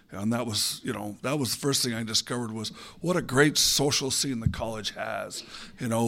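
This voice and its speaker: A man's normal speaking voice at medium pitch, fairly even in intonation and fairly quick in pace, on a very clean recording with a silent background. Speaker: former student, lab technician. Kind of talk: panel discussion. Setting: stage with audience.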